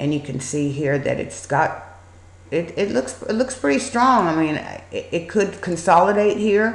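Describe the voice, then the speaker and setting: A woman at a moderate pace, with very wide pitch swings and audible room echo. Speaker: stock market educator. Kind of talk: screen-share trading tutorial. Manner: casual, hesitant with fillers.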